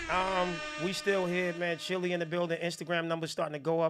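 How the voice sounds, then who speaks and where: A man's animated, fairly quick delivery on a very clean recording with a silent background. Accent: New Jersey. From New Jersey. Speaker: music review show host. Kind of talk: live music review stream. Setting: live broadcast. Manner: casual, animated.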